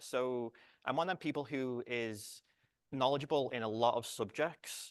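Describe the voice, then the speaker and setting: A man with a British accent is heard in a dry, close sound with no echo and a quiet background. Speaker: research computing director and software developer. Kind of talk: conference talk. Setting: conference room, lapel mic. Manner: halting, frequent repetitions and false starts.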